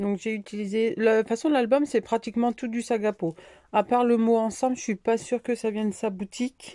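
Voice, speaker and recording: A woman's fairly high voice with a dark, mellow tone, fairly even intonation and a fairly quick pace, in a dry, close sound with no echo. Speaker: scrapbooking crafter. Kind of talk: craft tutorial. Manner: hesitant with fillers.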